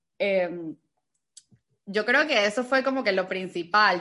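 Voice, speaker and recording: A woman with a bright, sharp tone speaks at a very slow pace with ordinary pitch variation against a quiet background. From Venezuela. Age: 20s. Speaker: entrepreneur and travel content creator. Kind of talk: casual interview.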